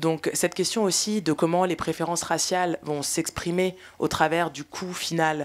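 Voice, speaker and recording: This woman has an ordinary speaking voice. She uses a fairly low pitch at a moderate pace. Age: 30s. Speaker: filmmaker and panel moderator; panel moderator. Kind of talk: panel discussion. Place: hall.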